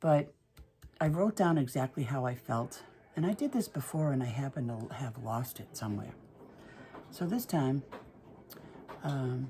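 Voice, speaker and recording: Her voice is very deep and low for a woman, with ordinary pitch variation. She speaks at a moderate pace in a Boston accent. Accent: Boston-area New England. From Massachusetts, north of Boston. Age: 60s. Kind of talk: casual talk to camera. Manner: chatty, hesitant.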